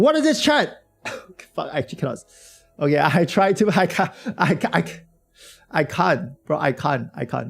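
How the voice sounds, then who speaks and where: A man shouts loudly at a moderate pace, with music in the background. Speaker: gaming streamer. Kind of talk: live stream reaction chat. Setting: live stream. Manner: loud, shouting.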